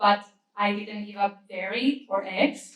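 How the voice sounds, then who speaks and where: Somewhat breathy and with a Spanish accent, a woman speaks at a moderate pace. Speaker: vegan advocacy manager. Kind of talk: conference talk. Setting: stage with audience.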